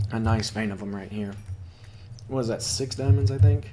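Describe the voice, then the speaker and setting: The delivery is monotone and flat, with audible room echo around it. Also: man. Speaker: gaming video creator. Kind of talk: gameplay commentary. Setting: home recording with a cat. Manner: casual, hesitant with fillers.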